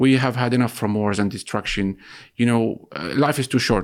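A man with an Arabic accent talks at a fairly quick pace. The recording is very clean, with a silent background. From Gaza City, Palestine. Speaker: journalist. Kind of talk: interview. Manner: hesitant, many fillers.

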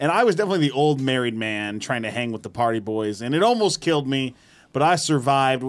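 Against a quiet background, a man talks at a fairly quick pace. His pitch is medium and his intonation lively. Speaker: podcast producer. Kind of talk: casual chat; sales pitch. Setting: studio. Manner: loud.

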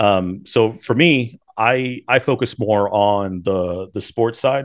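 A man speaks at a medium pitch with ordinary pitch variation, in an unremarkable speaking voice. The background is quiet. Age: 30s. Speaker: pharmacy owner. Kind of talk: casual interview.

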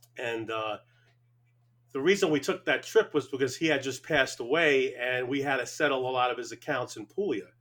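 With an ordinary speaking voice, a man talks at a fairly quick pace with ordinary pitch variation. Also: fairly high pitch for a man. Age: 50s. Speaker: chef and restaurant owner. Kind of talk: casual interview.

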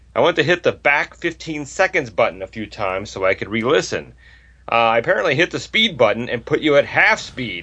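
Fairly high-pitched with vocal fry, a man's voice makes very wide pitch swings. He speaks at a fairly quick pace. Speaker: poker podcast co-host. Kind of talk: casual banter between co-hosts.

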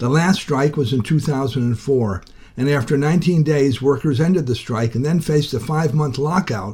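Somewhat breathy and dark, mellow in tone, a man speaks at a moderate pace. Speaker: labor radio reporter. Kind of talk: news reporting.

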